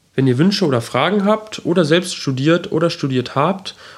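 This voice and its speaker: Noticeable noise sits behind this recording. A man speaks at a fairly quick pace. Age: 20s. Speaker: podcast host. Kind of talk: solo introduction monologue.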